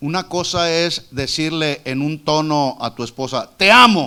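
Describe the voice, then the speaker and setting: This man's fairly high voice has a bright, sharp tone and lively intonation. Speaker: preacher. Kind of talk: sermon. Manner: loud.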